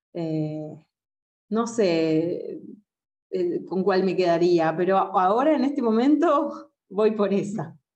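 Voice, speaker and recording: A woman speaks at a very slow pace with long, frequent pauses and very wide pitch swings. Audible room echo surrounds her. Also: medium pitch for a woman. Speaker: jazz singer. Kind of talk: interview. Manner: halting.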